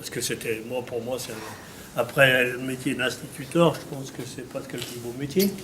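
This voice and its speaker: A man speaks at a fairly slow pace with medium pitch and ordinary pitch variation. Noticeable background noise and audible room echo fill the recording. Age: 60s. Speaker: farmer. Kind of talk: interview. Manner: halting.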